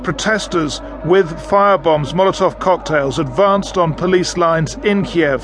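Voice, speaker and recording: A man with a British accent talks at a high pitch with fairly even intonation. Background noise is noticeable. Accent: British English, BBC presenter. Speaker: radio news presenter. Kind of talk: formal news reading, scripted broadcast headlines and intro. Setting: studio. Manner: formal, measured, authoritative.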